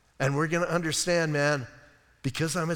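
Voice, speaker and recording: On a very clean recording with a silent background, a man with a fairly high pitch speaks in an animated tone. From United States. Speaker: pastor. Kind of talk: sermon. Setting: church.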